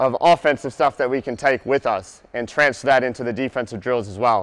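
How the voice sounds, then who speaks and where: A man moves through his speech at a fairly quick pace, with only a quiet background behind him. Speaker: basketball coach presenter. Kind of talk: lecture. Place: hall.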